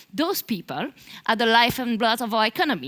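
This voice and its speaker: In a strong Belgian French accent, a woman speaks at a fairly quick pace with a fairly high pitch, lively intonation and a bright, sharp tone. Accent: thick French-Belgian. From Belgium. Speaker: marketing manager. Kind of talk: conference talk.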